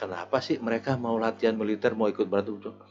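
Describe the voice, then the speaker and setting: A man speaks fairly quickly with music behind him. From Jakarta, Betawi (Tanah Abang). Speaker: retired police officer. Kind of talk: casual interview chat. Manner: casual, halting with repetitions.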